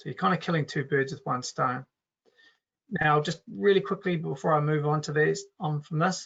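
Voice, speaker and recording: Speaking at a moderate pace with a New Zealand accent, a man uses a fairly high pitch and ordinary pitch variation. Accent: Kiwi. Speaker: software company co-founder presenting a webinar. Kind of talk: webinar product demo. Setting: online webinar. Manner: casual, with filler words and restarts.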